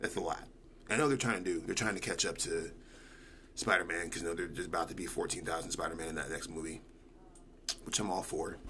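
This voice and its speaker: Amid audible room echo, a man talks at a very fast pace in an animated tone, with long, frequent pauses. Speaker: multimedia artist and livestreamer. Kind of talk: casual livestream chat.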